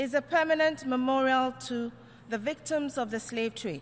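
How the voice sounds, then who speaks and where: Pitch varies in an ordinary way as the speech moves along at a moderate pace. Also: woman. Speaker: Ghanaian ambassador to the UN. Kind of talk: formal diplomatic speech at the UN General Assembly.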